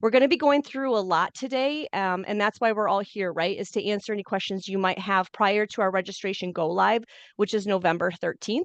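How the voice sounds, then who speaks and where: A woman talks at a very fast pace and a medium pitch, with ordinary pitch variation. The sound is dry and close with no echo, over a quiet background. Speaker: program director giving training. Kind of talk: online training webinar. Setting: video call. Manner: informal.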